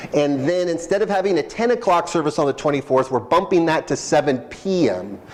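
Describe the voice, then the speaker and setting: A fairly high-pitched man talks at a fairly quick pace with lively intonation and hardly any pauses. His loudness stays very even, and there is noticeable background noise. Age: 40s. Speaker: pastor. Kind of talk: church announcements. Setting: church. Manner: conversational, hesitant fillers.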